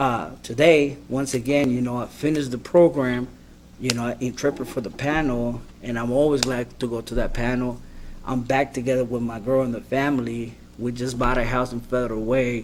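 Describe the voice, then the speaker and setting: The man's medium-pitched voice stays monotone and flat. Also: moderate pace. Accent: Spanish. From New York, the Bronx. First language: Spanish. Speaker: former offender, panel interpreter. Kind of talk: testimony. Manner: halting.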